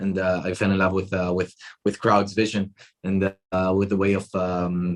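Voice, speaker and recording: Speaking with an Israeli accent, a man uses a very deep, low pitch, a moderate pace, and monotone, flat intonation. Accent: Israeli, non-Australian. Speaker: tech company chief executive. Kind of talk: interview. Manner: halting, many fillers and repetitions.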